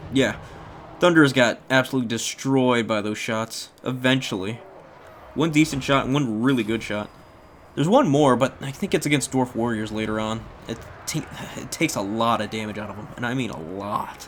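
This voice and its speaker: A man at medium pitch, with ordinary pitch variation and big swings in loudness. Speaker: gaming commentator. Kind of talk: replay commentary. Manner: fast; animated.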